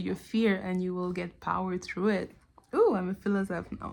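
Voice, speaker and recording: In a Quebec accent, a woman delivers flat, monotone speech at a moderate pace, her medium-pitched voice dark and mellow. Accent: French Canadian accent in English. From Canada. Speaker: TV show commentator. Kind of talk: casual video analysis monologue. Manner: halting, many fillers.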